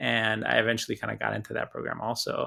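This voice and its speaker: A man speaks in a Spanish accent. The recording is very clean with a silent background. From Hawaii (Oahu), early childhood on Easter Island. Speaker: filmmaker. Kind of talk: interview. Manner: casual, many fillers.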